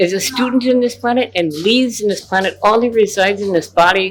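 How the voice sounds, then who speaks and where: Over music in the background, a woman speaks with a passionate tone, a fairly high pitch, ordinary pitch variation and a fairly quick pace. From Ojibwe, North America. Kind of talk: interview answer.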